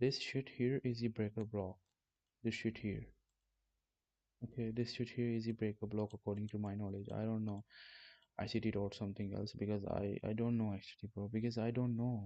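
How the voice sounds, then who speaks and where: Over a quiet background, a man with a fairly low pitch talks at a fairly quick pace but leaves long, frequent pauses, his intonation monotone and flat in a dry, close sound with no echo. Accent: non-native. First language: not English. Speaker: trading streamer. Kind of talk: live stream trading tutorial. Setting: live stream. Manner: casual, swearing, halting.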